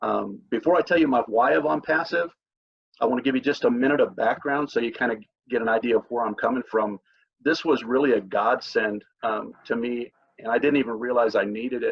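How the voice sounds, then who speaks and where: This man talks at a fairly quick pace with an American accent, his pitch in the medium range. It is an ordinary speaking voice. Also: ordinary pitch variation. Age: 60s. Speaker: network marketer. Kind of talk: testimony. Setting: video call.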